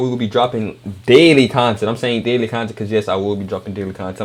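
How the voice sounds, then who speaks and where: Over noticeable background noise, a man with an American accent talks at a very fast pace and a medium pitch. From Louisiana, US South. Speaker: YouTube reactor. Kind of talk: casual reaction commentary.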